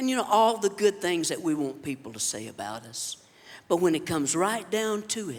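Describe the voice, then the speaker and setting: A man's high-pitched voice with a Southern US accent, very wide pitch swings and a moderate pace. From Alabama. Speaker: comedian. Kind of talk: stand-up. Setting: stage with audience.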